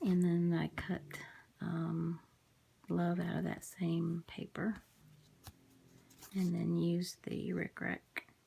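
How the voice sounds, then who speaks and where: A woman mumbling at a very slow pace. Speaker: crafter. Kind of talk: casual talk to camera.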